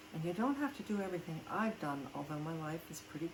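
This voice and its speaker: A woman speaks at a fairly quick pace with a fairly low pitch. Noticeable background noise can be heard. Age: 70s. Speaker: voice actor. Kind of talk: casual talk to camera. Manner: candid, defiant.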